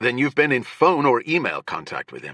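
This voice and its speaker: Growling in a put-on character voice, a man talks at a fairly quick pace and a fairly high pitch, with fairly even intonation, big swings in loudness and a dry, close sound with no echo. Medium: read story. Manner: authoritative, clipped.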